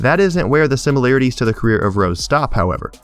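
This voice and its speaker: Music in the background behind a man's voice, its pitch varying in an ordinary way. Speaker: sports commentator. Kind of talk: sports analysis narration.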